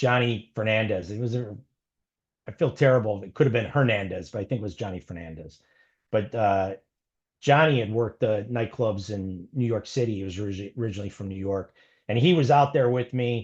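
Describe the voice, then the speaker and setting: A man with an American accent at a fairly low pitch, fairly quick in pace, with ordinary pitch variation and big swings in loudness over a quiet background. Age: 50s. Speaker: former TV show security guard. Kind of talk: interview storytelling.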